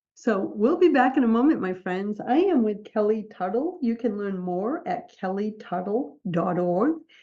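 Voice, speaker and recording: A woman speaks at a moderate pace in an ordinary speaking voice with a medium pitch. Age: 60s. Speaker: podcast host and book publisher. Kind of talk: interview conversation. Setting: radio or podcast show.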